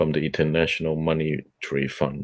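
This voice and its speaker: In a Cantonese accent, a man speaks at a moderate pace with a very deep, low pitch and vocal fry. His intonation is monotone and flat. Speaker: book club host. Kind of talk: reading aloud. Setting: audio chat room broadcast.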